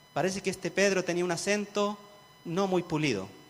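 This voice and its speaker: The speaker is a man. His pace is moderate. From rural central-southern Chile (Cauquenes area). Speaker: pastor. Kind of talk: sermon.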